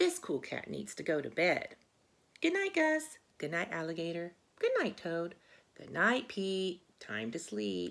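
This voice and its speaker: Put-on character voice from a woman, fairly slow in pace. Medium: read story. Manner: laid-back.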